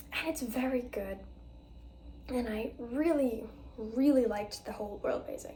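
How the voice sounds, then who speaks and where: Speaking at a moderate pace with long, frequent pauses, a woman uses a high pitch and ordinary pitch variation, and audible room echo can be heard. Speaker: book vlogger. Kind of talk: casual book review vlog.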